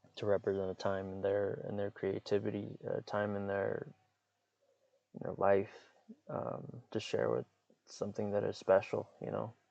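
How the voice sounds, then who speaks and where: At a moderate pace, a man speaks with long, frequent pauses. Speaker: podcaster and writer. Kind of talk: casual monologue. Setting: in a parked car. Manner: monotone; halting, many fillers and repeats.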